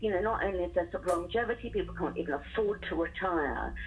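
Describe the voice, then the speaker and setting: A woman is heard talking with noticeable background noise around her. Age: 60s. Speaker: teacher training organisation founder. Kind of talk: radio interview.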